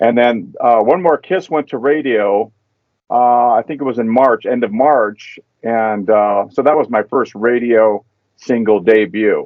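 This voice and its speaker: With an American accent and an unremarkable speaking voice, the speaker talks at a fairly slow pace with ordinary pitch variation. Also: man, medium pitch for a man. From Southern California, Anaheim. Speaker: saxophonist. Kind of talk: casual interview.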